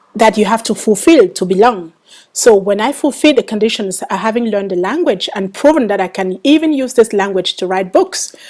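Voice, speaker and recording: Speaking at a fairly quick pace in a Cameroonian accent, a woman uses a fairly high pitch and lively intonation. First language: Bangwa. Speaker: author. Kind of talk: interview. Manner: halting, many fillers.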